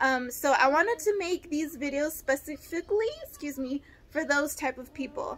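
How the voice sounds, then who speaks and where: In an American accent, a woman speaks at a moderate pace in a high voice with ordinary pitch variation. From Los Angeles, California. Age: 30s. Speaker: vlogger with an eye condition. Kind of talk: casual vlog monologue. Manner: hesitant, many fillers.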